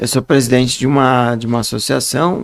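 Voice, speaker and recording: Medium in pitch, a man speaks with a monotone, flat intonation. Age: 60s. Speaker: writer and speaker, blind association president. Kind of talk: podcast interview.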